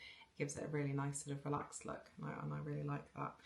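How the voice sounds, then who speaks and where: A woman speaks over noticeable background noise. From England, moved around (military family), born South Wales. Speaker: knitting podcaster. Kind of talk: casual chat. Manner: hesitant, many fillers and repetitions.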